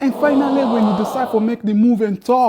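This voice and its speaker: The speaker has an African accent and an animated tone. Noticeable background noise runs underneath. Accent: African immigrant accent, mocked by others. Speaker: social commentator. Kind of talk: casual monologue.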